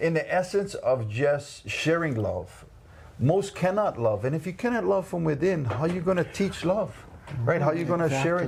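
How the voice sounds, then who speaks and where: A man talks in a high voice at a moderate pace. His intonation is lively and his tone enthusiastic. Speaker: interview host. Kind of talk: interview questions, casual talk. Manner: enthusiastic, preacher-like.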